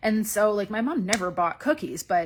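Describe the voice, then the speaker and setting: A woman's normal speaking voice, moderately paced and with ordinary pitch variation, comes through a very clean recording with a silent background. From east coast of Canada. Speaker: feminine magnetism coach. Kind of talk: live stream monologue. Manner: casual, conversational.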